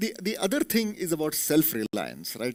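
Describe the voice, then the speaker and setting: A man talks at a fairly quick pace with an Indian accent. His pitch swings very widely, and vocal fry comes through. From India, Belgaum (Karnataka). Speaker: corporate executive, motivational speaker. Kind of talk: motivational talk. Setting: auditorium with audience.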